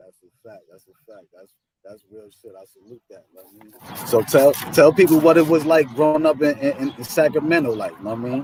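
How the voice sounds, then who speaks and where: A man's fairly high voice in an American accent, at a fairly quick pace with hardly any pauses, ordinary pitch variation, and big swings in loudness. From New York. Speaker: YouTube interviewer. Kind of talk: interview.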